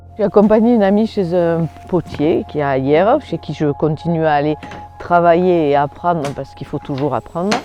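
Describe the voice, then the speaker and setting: A woman speaks at a moderate pace in a fairly low pitch with lively intonation. Noticeable background noise runs underneath. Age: 60s. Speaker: ceramicist, retired banker. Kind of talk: interview testimony. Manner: casual, conversational.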